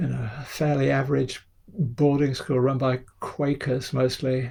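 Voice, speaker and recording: A somewhat breathy man with a dark, mellow tone. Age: 70s. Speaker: photographer. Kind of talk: interview. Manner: hesitant, many fillers.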